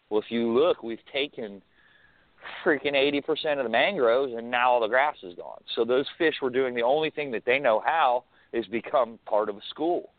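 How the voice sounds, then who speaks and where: A man's medium-pitched, plain, everyday voice with an American accent, ordinary pitch variation and a moderate pace. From Florida (Brevard County). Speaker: fishing guide. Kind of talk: casual chat.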